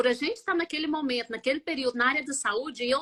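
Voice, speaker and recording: A woman speaks in a high pitch with a raised, projected voice. Her intonation is lively and her tone bright and sharp. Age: 40s. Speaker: biomedical scientist and multiple sclerosis patient. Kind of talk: live interview testimony.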